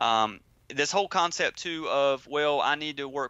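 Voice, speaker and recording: Speaking with a Southern US accent, a man uses a fairly high pitch and ordinary pitch variation. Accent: Southern drawl. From US South, Georgia. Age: 20s. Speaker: entrepreneur. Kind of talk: interview. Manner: many fillers and repeated words.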